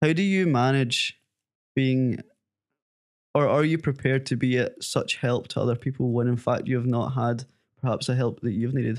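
Delivery is at a moderate pace with fairly even intonation and very even loudness. Long pauses come often. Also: man, medium pitch for a man. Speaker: podcast host. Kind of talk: casual interview.

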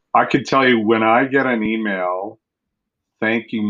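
A man with a fairly low pitch at a fairly slow pace. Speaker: city councillor, former journalist. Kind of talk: casual interview chat. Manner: talkative.

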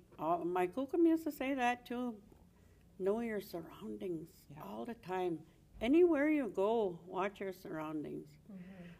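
A woman speaks with a Canadian accent and a dark, mellow tone. Her pitch swings very widely. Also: medium pitch for a woman. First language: Cree. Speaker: Cree elder. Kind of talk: casual chat.

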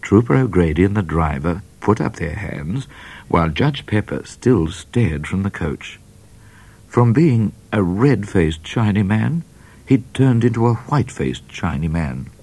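A man talks at a fairly slow pace, his warm, serious tone dark and mellow. His voice has vocal fry and very wide pitch swings. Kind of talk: children's audiobook reading aloud. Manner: animated, playful storyteller who voices characters with menace and comic flair; warm, wry and slightly mock-serious, with dramatic pacing.

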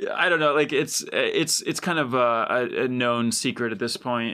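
A man speaks at a moderate pace and a medium pitch. His tone is bright and sharp, with ordinary pitch variation. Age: 30s. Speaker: record producer. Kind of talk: casual chat. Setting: video call.

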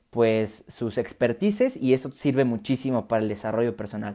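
A man's dark, mellow tone at medium pitch, with ordinary pitch variation and a fairly slow pace. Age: 20s. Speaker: podcast host. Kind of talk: solo monologue. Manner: halting.

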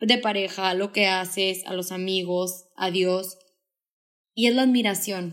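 The woman has an ordinary speaking voice at medium pitch, talking at a fairly slow pace with fairly even intonation. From Mexico, Sonora (Hermosillo). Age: 20s. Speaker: podcaster and speaker. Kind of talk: casual chat.

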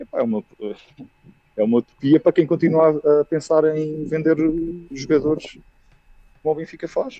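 A man's fairly high voice with a dark, mellow tone, at a moderate pace with long, frequent pauses, in a dry, close sound with no echo. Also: ordinary pitch variation. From Aveiro, Portugal. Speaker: football fan caller. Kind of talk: fan call-in opinion. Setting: video call.

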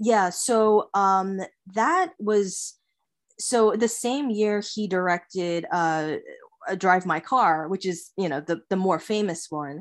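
The recording is very clean, with a silent background. A woman at medium pitch talks at a very slow pace with ordinary pitch variation. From US, Long Island, New York. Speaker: illustrator. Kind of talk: casual interview.

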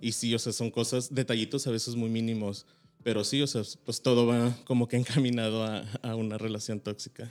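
At a fairly quick pace, a man with a medium pitch speaks in a monotone, flat intonation. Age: 30s. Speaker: podcast guest. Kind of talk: casual chat.

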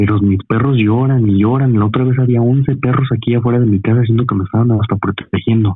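Speaking at a very fast pace with hardly any pauses, a man holds a medium pitch, fairly even intonation and very even loudness. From Veracruz, Mexico. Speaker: caller. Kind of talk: telling a story by phone. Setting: phone call.

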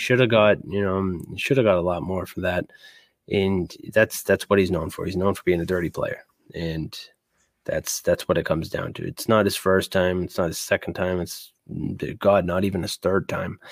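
A man with an American accent speaks in a very deep, low pitch with fairly even intonation. His moderate pace comes through a dry, close sound with no echo. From Boston area, US. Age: 30s. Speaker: sports podcast host. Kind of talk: casual sports talk. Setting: live stream.

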